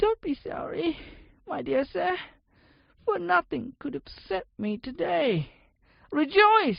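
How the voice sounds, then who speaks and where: A squeaky, put-on character voice comes across raised and projected at a fairly slow pace. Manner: jubilant, delighted.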